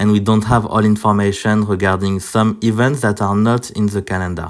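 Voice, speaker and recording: A man speaks with a French accent at a fairly low pitch. His intonation is monotone and flat. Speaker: mobile game content creator. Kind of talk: gaming guide video. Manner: halting, many fillers.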